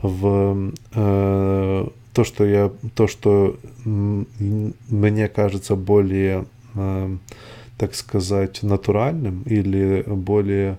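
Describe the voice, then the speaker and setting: Speaking very slowly with long, frequent pauses, a man with a non-native accent has a fairly low pitch, a dark, mellow tone and fairly even intonation. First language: not Russian (speaking Russian). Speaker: podcaster. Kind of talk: solo monologue. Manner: halting.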